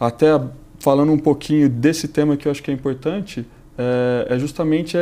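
A man talks fairly quickly in a fairly high voice with a dark, mellow tone. His intonation stays fairly even. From Brazil. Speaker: corporate executive; guest. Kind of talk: interview. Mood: calm, explanatory. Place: studio. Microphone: lapel.

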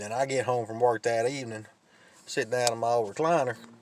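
There is no echo on this man's voice, which sounds dry. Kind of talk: casual vlog chat. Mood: joking storytelling. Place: car. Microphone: phone near.

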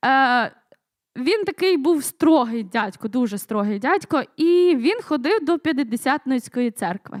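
Very wide pitch swings at a fairly slow pace, in a dry, close sound with no echo. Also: woman, high pitch for a woman. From western Ukraine, Lviv region (Sokal). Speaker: church member giving testimony. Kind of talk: testimony. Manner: halting, many fillers.

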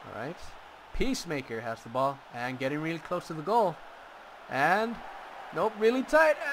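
Over noticeable background noise, a man speaks at a moderate pace in a fairly high pitch with very wide pitch swings. His loudness swings a lot, and he leaves long, frequent pauses. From Mexico. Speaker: gaming commentator. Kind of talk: live commentary. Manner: animated.

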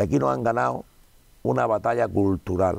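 Vocal fry runs through this man's voice as he talks at a moderate pace with lively intonation. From Spain. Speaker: politician. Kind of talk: interview. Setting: cinema room. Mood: indignant political criticism. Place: studio. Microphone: lapel.

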